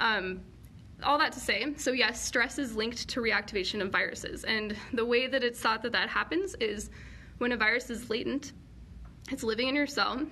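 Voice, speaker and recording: A woman with an American accent speaks at a fairly high pitch in a bright, sharp tone. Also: ordinary pitch variation. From US, Colorado. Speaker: PhD student in virology. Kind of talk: live Q&A lecture. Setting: live online session. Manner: fast; casual, filler-heavy.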